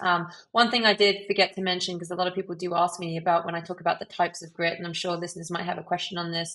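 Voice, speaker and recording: A woman with a British accent, fairly low in pitch, very fast and monotone, over noticeable background noise. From UK. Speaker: leadership coach and author. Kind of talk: podcast interview.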